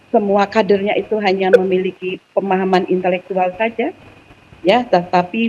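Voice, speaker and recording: Medium pitch from a woman, with noticeable noise in the background. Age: 50s. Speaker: Islamic student organization alumna. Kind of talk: talk show interview.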